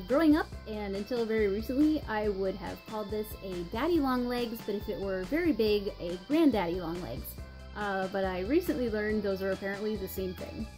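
Over clear background music, a woman with an American accent talks at a fairly quick pace. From North Carolina, US. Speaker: vlogger. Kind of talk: accent tag video, casual talk to camera. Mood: light, amused. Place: home room. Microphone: webcam.

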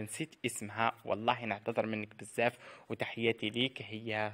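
At a fairly slow pace, this voice comes across with a bright, sharp tone. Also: man. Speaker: celebrity news youtuber. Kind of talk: scripted narration.

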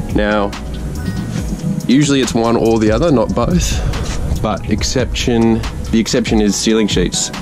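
A man speaks at a fairly slow pace in a fairly low voice. Clear music plays in the background. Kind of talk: tutorial. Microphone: phone near.

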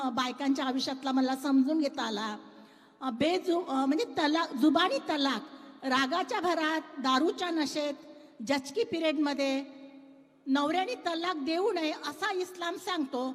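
A woman talks at a high pitch. Her pitch variation is ordinary. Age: 50s. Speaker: writer and social activist. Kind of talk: panel discussion. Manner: outspoken, direct.

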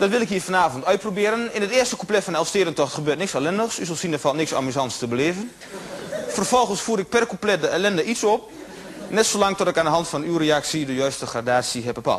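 A man talks at a very fast pace. There is light background noise behind him. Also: lively intonation. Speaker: stage comedian. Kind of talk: comedy stage monologue. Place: stage.

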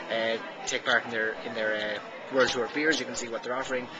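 A man speaks at a very fast pace. Loud background noise fills the clip. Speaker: hospitality business vlogger. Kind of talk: casual vlog commentary. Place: bar. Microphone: phone near.

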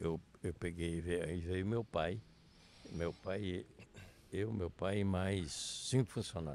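A man talks at a very slow pace in a very deep, low voice with a dark, mellow tone. The sound is dry with no echo, and there is light background noise. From Brazil, Rio Grande do Sul (Missões region); Rio Grande do Sul, Brazil. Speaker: town pioneer and local politician; local politician. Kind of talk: casual interview. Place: street. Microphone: lapel.

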